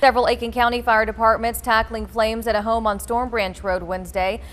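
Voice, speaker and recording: A woman talks at a very fast pace. Her fairly high voice stays flat and monotone. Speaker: TV news anchor and reporter. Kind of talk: news headline montage.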